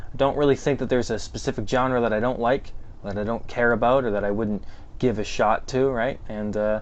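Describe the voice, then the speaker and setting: Using fairly even intonation, a man talks in a medium pitch. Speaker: film reviewer, YouTuber. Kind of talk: casual vlog monologue. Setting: home basement. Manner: casual, many fillers and hesitations.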